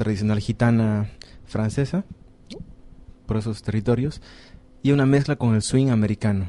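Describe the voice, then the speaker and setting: His tone dark and mellow, a man keeps a moderate pace and fairly even intonation. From Bolivia. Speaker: jazz musician. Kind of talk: radio interview.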